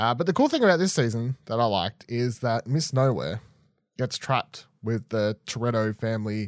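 Someone with an Australian accent speaks at a moderate pace, the sound dry and close with no echo on a very clean recording with a silent background. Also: man. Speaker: podcast host. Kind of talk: reading aloud; casual chat. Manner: halting.

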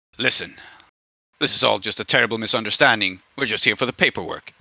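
Putting on a character voice, a man growls at a very fast pace at a medium pitch. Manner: charming, slightly growling.

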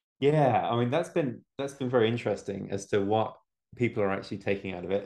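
This man speaks with an English accent. His pitch sits in the medium range. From England. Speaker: homebrewing video creator. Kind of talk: casual chat.

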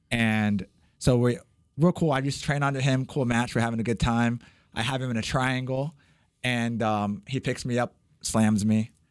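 At a moderate pace and with fairly even intonation, an unremarkable speaking voice comes through a very clean recording with a silent background. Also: man, medium pitch for a man. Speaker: martial arts gym owner. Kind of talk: casual chat.

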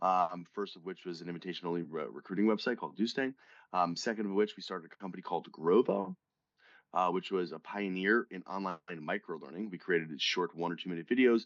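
A man with an American accent talks very fast at a very deep, low pitch with ordinary pitch variation. The sound is dry and close with no echo, and the background is quiet. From US Northeast, northern New Jersey. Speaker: tech company founder. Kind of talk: interview.

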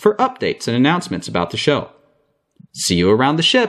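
A man's voice with very wide pitch swings. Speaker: podcast writer and narrator.

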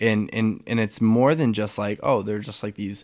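A man's fairly low, ordinary speaking voice with an American accent, fairly even intonation, and a very clean recording with a silent background. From US Midwest, St. Louis, Missouri. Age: 20s. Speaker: retail employee and photographer. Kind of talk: casual chat.

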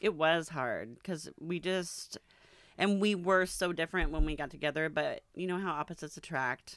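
The delivery is a normal speaking voice, moving at a moderate pace and showing ordinary pitch variation. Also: woman, fairly low pitch for a woman. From Arizona. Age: 40s. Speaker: host's mother. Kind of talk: casual interview.

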